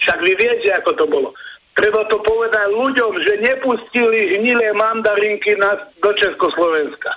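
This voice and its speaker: Against noticeable background noise, a man talks in a raised, projected voice at a high pitch and moderate pace, with ordinary pitch variation and very even loudness. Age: 60s. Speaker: caller. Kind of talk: phone-in. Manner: animated.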